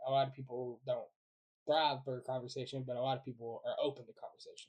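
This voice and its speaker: A man rushes along at a very fast pace, his voice somewhat breathy. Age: 20s. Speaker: podcast host. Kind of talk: casual chat.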